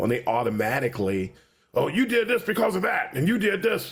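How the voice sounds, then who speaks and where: A somewhat breathy man at a fairly quick pace, with very wide pitch swings. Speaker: UX professor and podcaster. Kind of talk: interview conversation. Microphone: good quality microphone.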